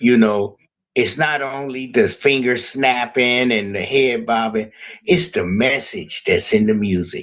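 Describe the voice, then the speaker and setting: A normal speaking voice moves at a fairly slow pace. The intonation is lively. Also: man, medium pitch for a man. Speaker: music promoter. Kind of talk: group video call discussion. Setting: video call.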